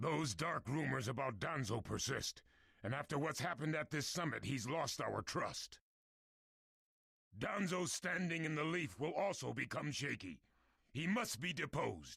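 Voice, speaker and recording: This is a put-on character voice with lively intonation. The pace is moderate. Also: man, fairly high pitch for a man. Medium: video game. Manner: loud, forceful.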